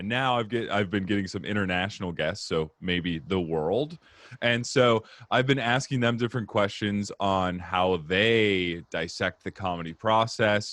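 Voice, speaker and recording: A man with an American accent and a normal speaking voice, fairly low in pitch with ordinary variation. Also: fairly slow pace. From Arizona, US. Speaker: comedian, podcast host. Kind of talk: casual interview chat.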